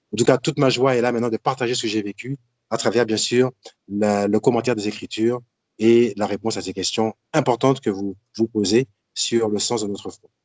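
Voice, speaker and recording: A man with medium pitch and an ordinary speaking voice shows big swings in loudness but fairly even intonation, in a dry, close recording with no echo. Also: fairly quick pace. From Martinique. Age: 60s. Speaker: deacon and Bible teacher. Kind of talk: religious teaching talk.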